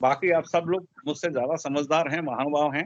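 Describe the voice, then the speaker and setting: Here is a man with an ordinary speaking voice. His pitch is fairly high. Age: 60s. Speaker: astrologer. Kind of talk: speech with predictions. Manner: humble, conversational.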